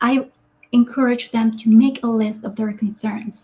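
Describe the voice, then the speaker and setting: Fairly high-pitched woman's voice in a Spanish accent, with monotone, flat intonation. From Guatemala. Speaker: doctor and kidney health coach. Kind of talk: webinar presentation. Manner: halting, with fillers and repetitions.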